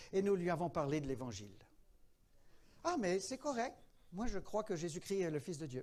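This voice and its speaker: The speaker keeps to a moderate pace while the pitch swings very widely. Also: man. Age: 70s. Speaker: pastor. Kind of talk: teaching workshop in church.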